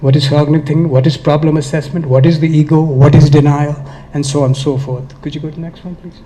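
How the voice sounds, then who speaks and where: Against noticeable background noise, a man speaks at a fairly quick pace in a fairly high pitch, his intonation monotone and flat. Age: 70s. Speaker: author and addiction speaker. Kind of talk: speech at event. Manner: passionate.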